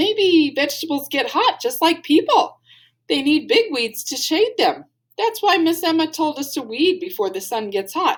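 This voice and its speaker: This put-on character voice moves at a moderate pace and swings very widely in pitch. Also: woman, extremely high pitch for a woman. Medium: read story. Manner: cheerful, earnest.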